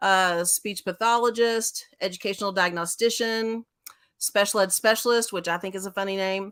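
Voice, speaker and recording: A woman talks with a Texas accent at a moderate pace. Her intonation is fairly even. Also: medium pitch for a woman, dry, close sound with no echo. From Central Texas, Waco. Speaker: school special education director. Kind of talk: interview talk.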